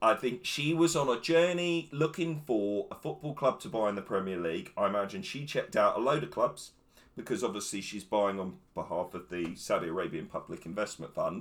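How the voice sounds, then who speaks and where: A man with a fairly high voice and vocal fry talks at a fairly quick clip, his pitch swinging very widely and hardly any pauses breaking his speech. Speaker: football pundit. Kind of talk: casual chat. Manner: talkative.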